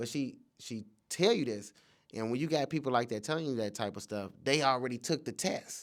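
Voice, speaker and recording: An unremarkable speaking voice: a man with an American accent, medium pitch, ordinary pitch variation and a fairly quick pace. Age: 30s. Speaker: comedian. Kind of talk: casual chat.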